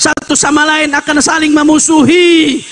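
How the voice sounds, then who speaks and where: Over noticeable background noise, a man uses a raised, projected voice. His pitch is extremely high and his pace fairly slow. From Jakarta (Betawi), Indonesia. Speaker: Islamic preacher. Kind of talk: sermon. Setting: religious gathering at a boarding school.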